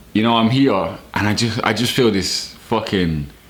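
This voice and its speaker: A man talks at a fairly slow pace with ordinary pitch variation. Noticeable background noise and audible room echo surround his voice. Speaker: vlogger. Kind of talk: casual vlog monologue.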